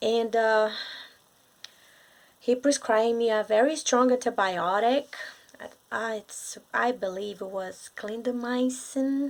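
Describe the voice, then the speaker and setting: Very slowly and with long, frequent pauses, a woman with a Brazilian accent speaks at a fairly high pitch with fairly even intonation. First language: Portuguese. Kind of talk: casual talk to camera. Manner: hesitant, many fillers.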